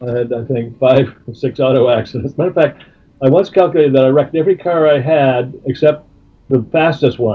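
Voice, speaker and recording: Somewhat breathy, a man's fairly high voice moves at a fairly quick pace with ordinary pitch variation. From Canada. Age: 70s. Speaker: music manager. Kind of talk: interview. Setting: phone call. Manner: halting.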